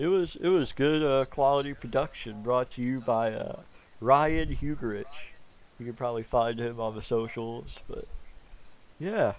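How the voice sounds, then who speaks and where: A man with a plain, everyday voice speaks at a fairly slow pace in a medium pitch with ordinary pitch variation. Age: 20s. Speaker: podcast host. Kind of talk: casual chat.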